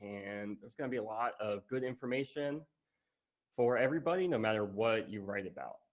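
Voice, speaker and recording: A plain, everyday voice from a man with an American accent, medium in pitch, fairly quick, with ordinary pitch variation and big swings in loudness. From US South, Virginia (Richmond). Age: 30s. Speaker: conference speaker, writer and physical therapist. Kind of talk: conference talk.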